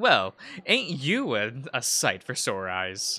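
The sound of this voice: A man puts on a gravelly character voice at medium pitch, speaking at a fairly slow pace.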